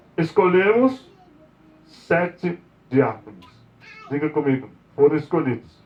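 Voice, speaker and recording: Through noticeable background noise, a man with a fairly high pitch talks at a fairly slow pace, with very wide pitch swings and long, frequent pauses. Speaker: apostle, preacher. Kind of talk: sermon. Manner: soft-spoken.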